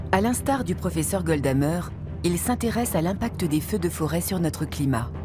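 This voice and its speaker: Against background music, a woman with a very deep, low pitch talks at a moderate pace, keeping very even loudness while making very wide pitch swings. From France. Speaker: voice actor. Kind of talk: documentary narration.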